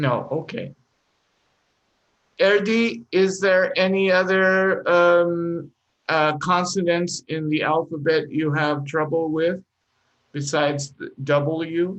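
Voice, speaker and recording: A man with a non-native accent and a high pitch speaks at a very slow pace with fairly even intonation and long, frequent pauses. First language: not English. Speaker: English teacher. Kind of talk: live online English class. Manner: encouraging, patient.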